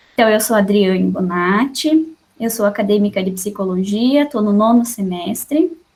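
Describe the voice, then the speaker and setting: A woman talks at a moderate pace and medium pitch, with hardly any pauses. Her voice is somewhat breathy, with lively intonation. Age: 20s. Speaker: psychology student in study group. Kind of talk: casual self-introduction. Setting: video call.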